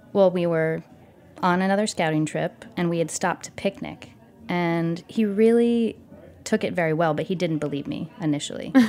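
This woman talks at a moderate pace in a fairly low pitch, with ordinary pitch variation. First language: Italian. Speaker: cheese retail and operations director. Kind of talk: interview.

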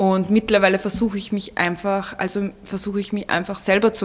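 Her voice is medium in pitch, and this woman speaks at a moderate pace. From Vienna, Austria. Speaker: blogger. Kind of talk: interview.

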